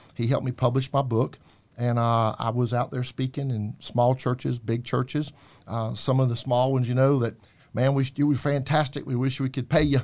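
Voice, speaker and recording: A man with a Southern US accent speaks at a moderate pace in a monotone, flat intonation. The recording is very clean, with a silent background. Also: medium pitch for a man. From US South, South Carolina. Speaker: faith outreach political organizer. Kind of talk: interview. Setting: studio.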